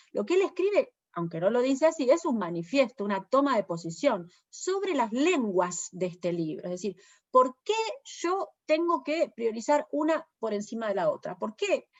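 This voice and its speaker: This woman has a high voice with very wide pitch swings. She talks at a moderate pace. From Argentina. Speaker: poet and translator. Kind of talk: interview. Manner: hesitant, many fillers.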